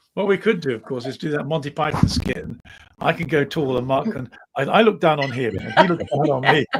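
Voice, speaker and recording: A man with an English accent speaks fairly quickly, his fairly high voice moving in lively intonation. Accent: received pronunciation, posh English. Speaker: podcast co-host. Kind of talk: casual chat.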